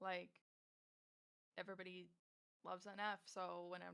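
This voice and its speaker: An American accent marks this woman's medium-pitched voice with its bright, sharp tone. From Michigan, US. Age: 20s. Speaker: singer and rapper. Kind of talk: casual interview.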